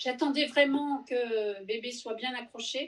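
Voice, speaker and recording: Over noticeable background noise, a woman with a high-pitched voice speaks at a fairly slow pace. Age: 60s. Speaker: knitting subscriber guest. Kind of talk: casual chat.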